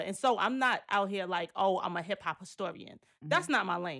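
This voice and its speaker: A woman with a bright, sharp tone and medium pitch speaks at a fairly quick pace with ordinary pitch variation, in a very clean recording with a silent background. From Jamaica, Queens, New York. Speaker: archivist and curator. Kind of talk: casual interview.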